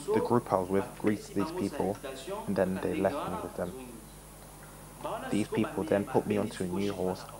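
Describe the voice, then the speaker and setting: A man's fairly low voice with ordinary pitch variation, long, frequent pauses and noticeable background noise. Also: moderate pace. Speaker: voice-over translator. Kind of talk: translated testimony voice-over.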